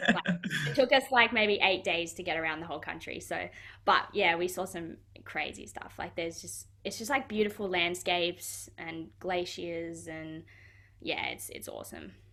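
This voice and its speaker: A woman's fairly low voice with vocal fry and a bright, sharp tone, in an Australian accent, at a moderate pace with ordinary pitch variation and big swings in loudness. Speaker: professional footballer. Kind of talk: interview. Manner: casual, many fillers.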